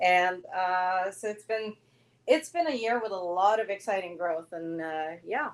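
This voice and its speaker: A woman with a Norwegian accent, medium in pitch, at a fairly slow pace with ordinary pitch variation. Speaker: dog groomer and salon owner. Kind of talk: live stream interview. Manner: hesitant with many fillers.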